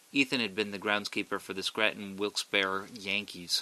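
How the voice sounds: The passage is read in a natural reading voice.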